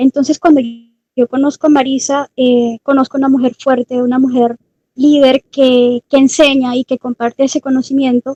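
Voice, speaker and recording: Dark, mellow tone at a moderate pace, with monotone, flat intonation and a dry, close sound with no echo. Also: woman, high pitch for a woman. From Colombia. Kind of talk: panel talk. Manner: hesitant, many fillers.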